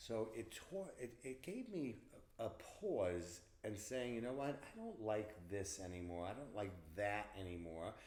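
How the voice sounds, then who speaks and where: A man with a Long Island accent and medium pitch sounds somewhat breathy, using ordinary pitch variation, with audible room echo around him. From Long Island, New York. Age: 60s. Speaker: event planner. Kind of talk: interview. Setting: in person. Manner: halting.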